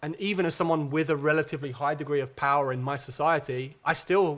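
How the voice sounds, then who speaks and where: A man with a fairly high voice speaks in a fairly even tone on a very clean recording with a silent background. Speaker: sociologist, keynote speaker. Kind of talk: conference Q&A answers. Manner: fast.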